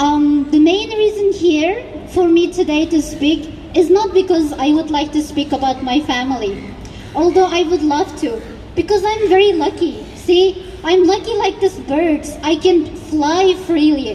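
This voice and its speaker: Noticeable background noise sits behind a woman speaking in a Xinjiang accent. Her pitch is extremely high, her pitch variation ordinary and her pace fairly slow. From East Turkestan (Xinjiang). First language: Uyghur. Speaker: activist speaker. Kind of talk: rally speech. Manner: impassioned.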